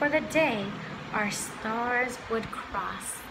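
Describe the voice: Over clear background noise, a woman talks slowly at a fairly high pitch with ordinary pitch variation.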